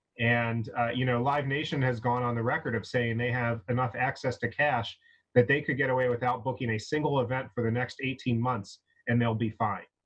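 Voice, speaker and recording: Against a quiet background, a man speaks fairly quickly in a somewhat breathy voice with monotone, flat intonation. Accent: American. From USA. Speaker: live music industry professional. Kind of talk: online panel discussion. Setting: video call. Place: home room. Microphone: video call.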